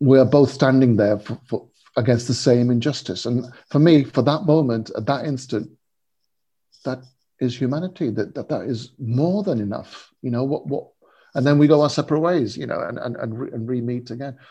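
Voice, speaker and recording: Here a man speaks at a moderate pace and medium pitch, his tone dark and mellow. The voice is somewhat breathy, with ordinary pitch variation. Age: 50s. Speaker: spiritual seeker and interfaith writer. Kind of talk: interview. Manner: halting, many repeated words.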